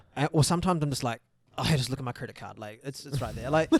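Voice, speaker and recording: In a New Zealand accent, a man talks at a very fast pace. His tone is animated and his pitch fairly high. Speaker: podcast co-host. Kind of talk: casual chat.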